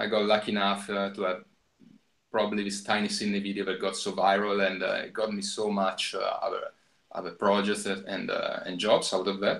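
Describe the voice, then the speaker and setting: The speaker talks at a fairly quick pace with an Italian accent. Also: man. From Italy. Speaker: filmmaker. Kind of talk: interview. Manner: halting, many fillers.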